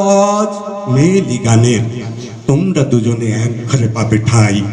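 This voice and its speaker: Noticeable background noise is present. Over it, a man speaks with lively intonation. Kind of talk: poetry reading.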